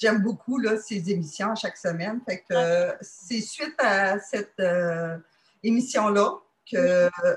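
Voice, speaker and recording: Somewhat breathy and in a Quebec accent, the voice moves at a very slow pace. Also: woman, medium pitch for a woman, ordinary pitch variation. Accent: Québécois French. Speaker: dating site member. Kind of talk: testimony. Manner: halting.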